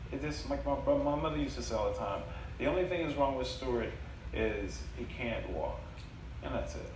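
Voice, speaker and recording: Against noticeable background noise and audible room echo, a man speaks at a fairly quick pace. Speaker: storyteller. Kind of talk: live storytelling / stand-up style comedy set with audience. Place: stage. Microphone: camera far.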